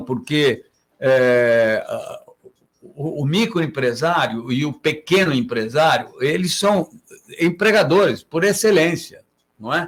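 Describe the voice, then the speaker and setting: A man talks at a very slow pace with a fairly high pitch. His intonation is lively. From Santos, Brazil. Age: 80s+. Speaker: mayoral candidate and businessman. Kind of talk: interview answer. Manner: hesitant, halting.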